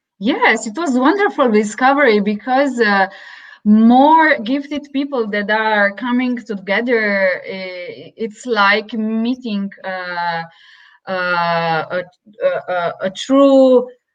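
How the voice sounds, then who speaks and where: Speaking at a very slow pace, a woman uses lively intonation in a fairly high pitch. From Slovenia. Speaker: interviewer, yoga therapy student. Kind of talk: interview. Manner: hesitant, many fillers.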